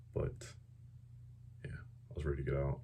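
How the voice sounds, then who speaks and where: His pitch is very deep and low, with vocal fry. This man's tone is dark and mellow. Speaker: air force veteran. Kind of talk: casual talk to camera.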